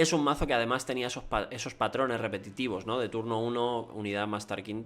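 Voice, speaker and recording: A man at a medium pitch talks at a fairly quick pace. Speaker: card game content creator. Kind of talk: commentary video on card game meta. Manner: fast.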